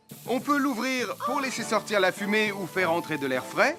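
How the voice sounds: Over faint music, a man in a put-on character voice speaks at a moderate pace in a high pitch with big pitch swings and a bright, sharp tone.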